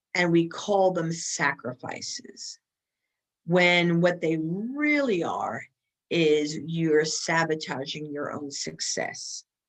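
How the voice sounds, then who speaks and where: A woman with an American accent, fairly low in pitch, at a very slow pace with ordinary pitch variation. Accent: Bronx accent, coming out at times. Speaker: keynote speaker and women's leadership expert. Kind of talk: podcast interview.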